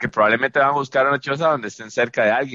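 A man with a Costa Rican accent, bright, sharp tone and ordinary pitch variation, in a dry, close sound with no echo. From Costa Rica, San José area (Pavas). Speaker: podcast co-host. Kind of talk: casual chat.

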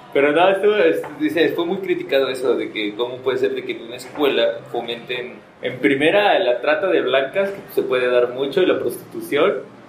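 Over noticeable background noise and audible room echo, a man speaks at a moderate pace with hardly any pauses. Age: 30s. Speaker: podcast co-host. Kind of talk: casual chat.

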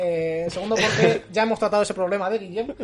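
With noticeable background noise behind him, a man talks very fast at a high pitch with fairly even intonation. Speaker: podcast host. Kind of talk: casual chat. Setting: video call.

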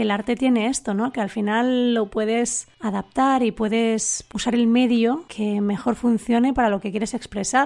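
An unremarkable speaking voice, this woman's fairly high pitch holds a fairly even intonation at a fairly slow pace with hardly any pauses. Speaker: tech writer and author. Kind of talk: recorded commentary.

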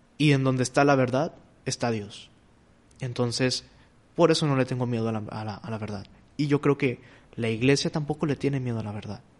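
Over a quiet background, a man at medium pitch talks at a fairly quick pace with long, frequent pauses. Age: 20s. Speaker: seminarian. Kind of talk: casual chat. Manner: halting.

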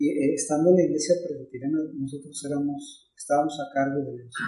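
A man's somewhat breathy, fairly high voice with a dark, mellow tone, at a moderate pace. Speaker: pastor. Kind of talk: casual chat.

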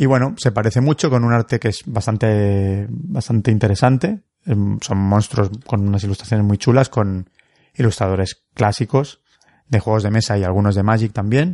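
A man's fairly low, dark, mellow voice at a moderate pace, with ordinary pitch variation and very even loudness, in a dry, close sound with no echo and a quiet background. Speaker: board game podcast co-host. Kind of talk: casual chat.

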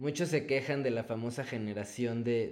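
A man's dark, mellow voice at a moderate pace with fairly even intonation. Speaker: adoptive father. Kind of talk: casual interview chat.

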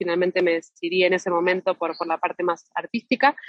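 This woman has a plain, everyday voice. Her pitch is medium and her intonation fairly even. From Argentina. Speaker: actress. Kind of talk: interview. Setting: phone call.

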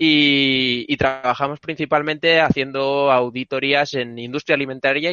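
The intonation is monotone and flat. A man talks at a medium pitch. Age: 20s. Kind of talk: casual chat. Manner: halting.

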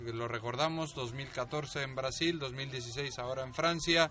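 Fairly even male intonation amid noticeable background noise. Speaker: studio presenter. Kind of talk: radio show hosting, studio discussion. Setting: studio.

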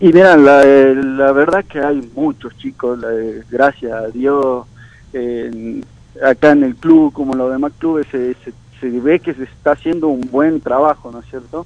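A man with a plain, everyday voice speaks at a fairly slow pace, his fairly high pitch holding fairly even intonation while his loudness takes big swings. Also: dry, close sound with no echo. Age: 20s. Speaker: baseball player. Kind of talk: radio interview. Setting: phone call.

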